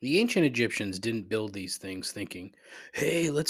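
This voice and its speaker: Someone talks at a moderate pace in a very clean recording with a silent background. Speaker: podcast host. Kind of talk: casual podcast monologue.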